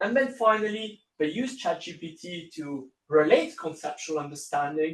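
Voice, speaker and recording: Speaking at a fairly slow pace, a man with an Italian accent uses lively intonation. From Italy. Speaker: university lecturer. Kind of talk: lecture. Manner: hesitant with fillers and repeats.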